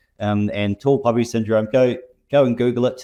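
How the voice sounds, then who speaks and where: Recorded dry and close with no echo, a man with a New Zealand accent speaks at a moderate pace. His dark, mellow voice sits at a medium pitch, with fairly even intonation. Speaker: software company representative. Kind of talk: interview conversation. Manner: halting, many repetitions.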